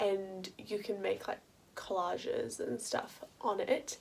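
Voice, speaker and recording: An Australian accent shapes this speech. It comes from a woman. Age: 20s. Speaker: university student. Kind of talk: casual talk to camera.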